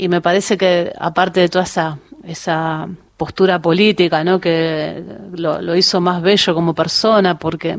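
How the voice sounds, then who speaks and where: A woman with a Rioplatense accent speaks in a fairly low pitch with monotone, flat intonation. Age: 50s. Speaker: women's football coach. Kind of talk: radio interview. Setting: radio studio.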